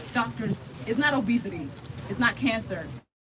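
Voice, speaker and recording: Crowd noise fills the background as a woman speaks with an American accent. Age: 20s. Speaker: activist and gun violence survivor. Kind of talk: rally speech. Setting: outdoor rally on the National Mall. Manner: emotional.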